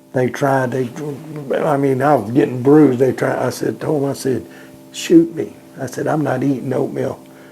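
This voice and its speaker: Amid noticeable background noise, a man with a medium pitch talks at a moderate pace with fairly even intonation. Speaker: war veteran. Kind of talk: interview storytelling. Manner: halting, repeats words.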